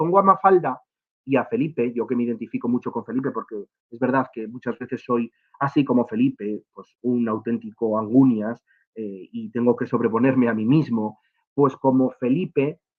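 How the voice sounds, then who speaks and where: The voice shows ordinary pitch variation along with big swings in loudness. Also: man. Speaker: education official. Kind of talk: lecture. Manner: fast; halting with fillers.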